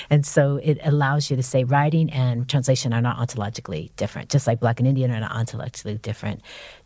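A woman's very deep, low voice with a dark, mellow tone, somewhat breathy, at a very fast pace, in a very clean recording with a silent background. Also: ordinary pitch variation. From San Francisco, US. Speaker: professor and writer. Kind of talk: interview conversation. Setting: studio.

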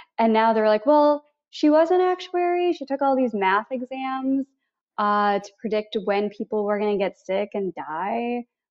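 A woman with an American accent speaks at a moderate pace. Her fairly high pitch moves in very wide swings. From US Midwest, Missouri. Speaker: travel points coach and podcaster. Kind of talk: casual interview.

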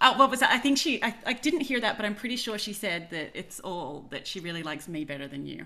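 A woman with an Australian accent at a very fast pace, hardly any pauses, very wide pitch swings and big swings in loudness. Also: medium pitch for a woman. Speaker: podcast co-host. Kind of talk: casual interview chat.

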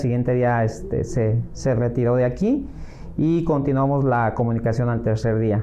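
A man with a medium pitch talks fairly slowly, his intonation fairly even and his loudness very even. Audible room echo surrounds his voice. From Mexico, Acapulco, Guerrero. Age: 40s. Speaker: real estate agent. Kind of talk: interview. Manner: hesitant, many fillers.

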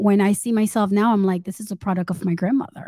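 Medium in pitch, a woman's voice sounds somewhat breathy, with fairly even intonation. The recording is very clean, with a silent background. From Caribbean, Sint Maarten, Haitian family. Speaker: entrepreneur and author. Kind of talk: interview storytelling.

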